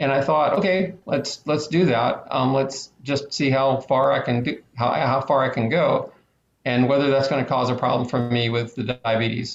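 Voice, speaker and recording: At a moderate pace, a man speaks in a medium pitch with a somewhat breathy voice. His loudness is very even and his intonation fairly even. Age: 50s. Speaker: ultra-distance runner. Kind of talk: talk / interview. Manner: halting, many fillers.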